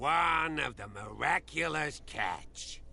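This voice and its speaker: A man in a put-on character voice, raspy and fairly slow, with clear background noise. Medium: video game. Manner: proud, folksy.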